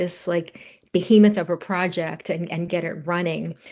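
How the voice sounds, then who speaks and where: A woman's dark, mellow voice, fairly low in pitch, with fairly even intonation. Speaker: genomics researcher presenting at a webinar. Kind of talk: presentation. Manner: fast.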